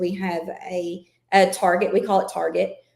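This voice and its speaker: With a Southern accent, a woman speaks at a medium pitch in a flat, monotone delivery. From Kentucky. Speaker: school administrator. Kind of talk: podcast interview.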